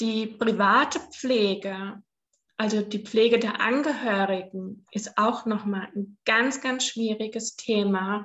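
This woman speaks at a very slow pace, her fairly high pitch carried with fairly even intonation. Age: 50s. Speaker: cancer patient and blogger. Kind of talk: interview, personal story. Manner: hesitant, many filler sounds.

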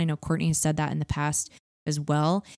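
Recorded very cleanly with a silent background, a woman with a Californian accent speaks in a dry, close sound with no echo. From Southern California (Orange County). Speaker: podcast co-host. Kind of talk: casual chat.

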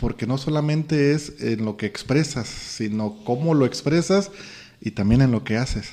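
The voice has a dark, mellow tone and a Mexican accent. It moves at a fairly slow pace with lively intonation. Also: man. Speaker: podcast host, personal growth. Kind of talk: casual chat.

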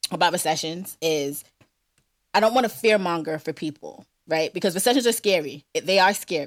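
Very clean recording with a silent background, a woman at fairly low pitch, lively intonation, an animated tone, and a fairly quick pace. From New York. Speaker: podcast co-host. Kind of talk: casual chat.

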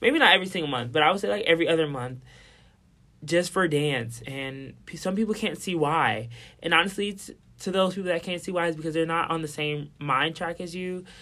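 A man with a high pitch and a bright, sharp tone talks at a fairly quick pace with ordinary pitch variation, in a very clean recording with a silent background. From Milwaukee, Wisconsin. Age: young (19). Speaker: dancer and dance teacher. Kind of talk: casual chat.

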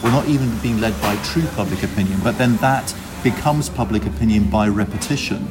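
Music plays behind a man with a fairly low voice. He speaks at a moderate pace with lively intonation. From Greece. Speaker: podcast guest. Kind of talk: casual chat.

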